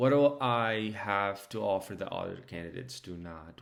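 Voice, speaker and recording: A man talks with a Spanish accent. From Mexico, moved to Georgia US at 12. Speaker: restaurant team leader. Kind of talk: mock job interview answers. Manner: hesitant, many fillers.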